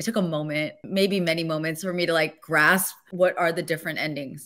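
A woman speaks in an enthusiastic tone. The background is quiet. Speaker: voice actor. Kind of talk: interview answer. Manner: emotional, enthusiastic. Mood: emotional, tearful, laughing. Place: home room. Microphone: studio mic.

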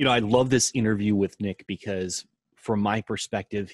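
Against a quiet background, a man with an ordinary speaking voice talks at a fairly low pitch and a fairly quick pace, the sound dry with no echo. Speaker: podcast co-host. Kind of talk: interview. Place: home room.

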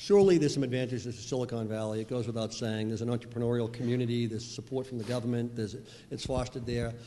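Very fast speech in a Boston accent, fairly even in intonation, with light background noise. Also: man. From Boston (Dorchester). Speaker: venture capitalist. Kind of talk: panel discussion. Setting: stage with audience. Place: hall. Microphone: handheld.

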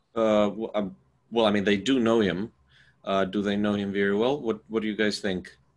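At a moderate pace, a man with fairly low pitch talks in a monotone, flat intonation. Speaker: moderator of an educational center. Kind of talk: hosting an interview and Q&A. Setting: video call. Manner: halting.

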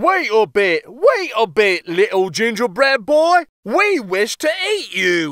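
A man's put-on character voice, high-pitched and fairly bright, slow, with big pitch swings

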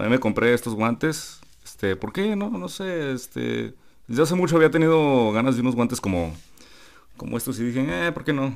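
A man speaks in a Mexican accent at a medium pitch. His pitch swings very widely at a moderate pace. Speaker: gaming youtuber. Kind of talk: casual vlog. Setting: convention hall.

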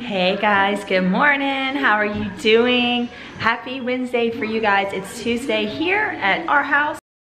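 A woman's fairly high voice carries audible echo from the room. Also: ordinary pitch variation. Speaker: family vlogger. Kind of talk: casual vlog talk to camera. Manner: hesitant, many fillers.

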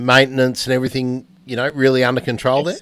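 A man speaks with an Australian accent. The background is quiet and the sound is dry with no echo. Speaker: podcast host. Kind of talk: casual chat. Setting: video call. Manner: halting. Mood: friendly, relaxed. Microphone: studio mic.

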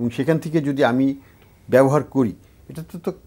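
A man's voice with vocal fry. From Bangladesh. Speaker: economist; talk show guest. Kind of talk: studio panel discussion. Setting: studio. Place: studio. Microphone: lapel.

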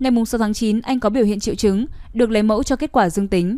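A woman with a fairly high pitch and an unremarkable speaking voice, fairly quick and fairly even in intonation, on a very clean recording with a silent background. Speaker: news reader. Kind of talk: news reading. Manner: formal.

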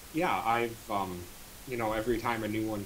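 Noticeable background noise surrounds a man speaking. His pitch is fairly low and his intonation fairly even. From North Dakota, US. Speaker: rhythm game player; interviewee. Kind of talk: casual interview. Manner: halting, repeats words. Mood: relaxed, smiling. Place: home room. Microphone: studio mic.

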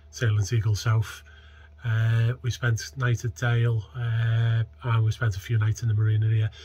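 Intonation here is fairly even. The voice has a somewhat breathy quality. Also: man. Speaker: sailing vlogger. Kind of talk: casual vlog chat. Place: boat. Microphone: phone near.

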